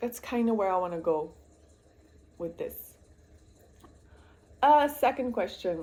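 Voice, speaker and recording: This woman has a fairly high pitch, a dark, mellow tone and a Flemish accent. She talks fairly slowly with very wide pitch swings and long, frequent pauses. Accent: Belgian Dutch (Flemish) accent in English. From Belgium, Dutch-speaking part. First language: Dutch. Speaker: booktuber, student nurse. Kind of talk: casual vlog chat. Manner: rambling, hesitant with many fillers.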